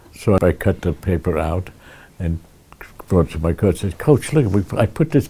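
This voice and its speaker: Lively intonation from a man with a very deep, low pitch, at a moderate pace, with long, frequent pauses. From Sleepy Hollow and Tarrytown, New York. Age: 80s+. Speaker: centenarian local resident. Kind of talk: interview answer.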